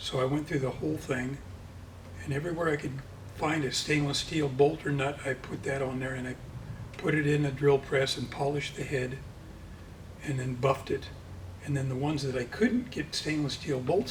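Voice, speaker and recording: Over audible room echo, a man with a fairly high pitch speaks at a moderate pace with fairly even intonation. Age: 70s. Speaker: motorcycle land speed racer. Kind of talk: casual interview. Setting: workshop.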